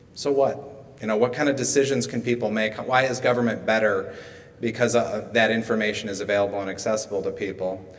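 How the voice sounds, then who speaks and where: Ordinary pitch variation colors a man's speech, delivered at a fairly quick pace. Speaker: conference presenter. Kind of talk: conference talk. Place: hall. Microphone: podium.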